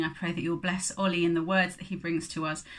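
Against a quiet background, a woman speaks in a monotone, flat intonation at a fairly low pitch. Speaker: church service host. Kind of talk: welcome and prayer. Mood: calm, prayerful. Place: home room. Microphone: phone near.

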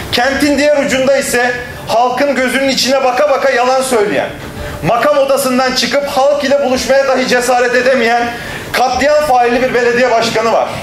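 An extremely high male voice at a moderate pace, monotone and flat, with light background noise and audible room echo. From Turkey. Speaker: local party leader. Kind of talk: political speech. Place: hall. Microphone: podium.

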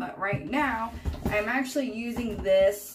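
A woman talks over light background noise, with pitch moving in an ordinary way. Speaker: beauty vlogger. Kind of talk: casual vlog chat. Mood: warm, chatty. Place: bathroom. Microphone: phone near.

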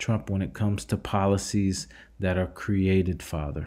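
The man's voice has a dark, mellow tone and a fairly low pitch. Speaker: religious channel host leading prayer. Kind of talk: fervent intercessory prayer addressed to God, repeatedly invoking Father. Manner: earnest, pleading cadence with frequent stumbles and repetitions; hesitant, filler-heavy delivery with many uh and um.

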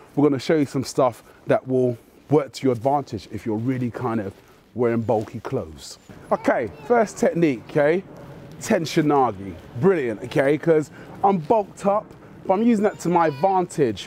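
Pitch swinging very widely, a man speaks at a moderate pace in a dry sound with no echo and light background noise. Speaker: martial arts instructor. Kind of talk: tutorial. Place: street.

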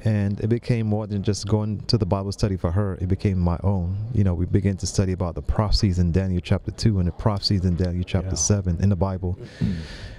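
A man talks at a very fast pace with hardly any pauses, a fairly low pitch and ordinary pitch variation, in a dry sound with no echo over light background noise. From Jamaica, raised in New York City. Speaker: director of a health ministry lifestyle center; podcast guest. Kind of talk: interview. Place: studio. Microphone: studio mic.

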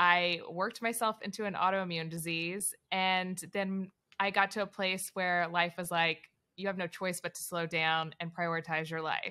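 A woman's voice has a bright, sharp tone at a medium pitch. Her intonation stays fairly even. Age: 30s. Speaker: sports broadcaster; podcast guest. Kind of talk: casual interview chat. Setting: remote call from abroad. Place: home room.

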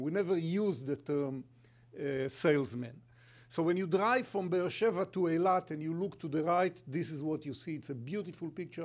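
Speaking at a moderate pace with an Israeli accent, a man uses a fairly high pitch with ordinary variation. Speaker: company sustainability executive and kibbutz member; guest. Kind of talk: conference presentation. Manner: humorous, storytelling. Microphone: podium.

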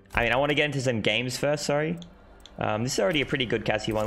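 Speaking very fast in an Australian accent, a man shows ordinary pitch variation. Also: very even loudness. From Australia, Sydney. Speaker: gaming streamer. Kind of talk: live stream commentary. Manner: casual, fast. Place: home room. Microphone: headset.

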